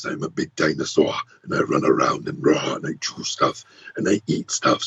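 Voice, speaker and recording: A man's put-on character voice at a moderate pace. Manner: growling, roaring, menacing.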